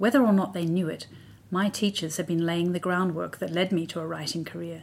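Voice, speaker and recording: A woman speaks very fast with an Australian accent. Her voice is fairly low. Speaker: writer. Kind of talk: scripted narration. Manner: measured.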